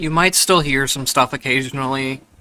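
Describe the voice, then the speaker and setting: A man's quiet, bright, sharp voice at medium pitch, fairly even in intonation, at a moderate pace. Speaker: gameplay commentator. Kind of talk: casual gameplay commentary.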